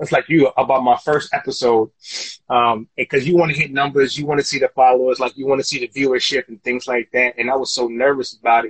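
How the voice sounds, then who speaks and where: A man in monotone, flat intonation at a very fast pace. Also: medium pitch for a man. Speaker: podcast host. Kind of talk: casual chat. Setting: Instagram live video. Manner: halting, filler-heavy.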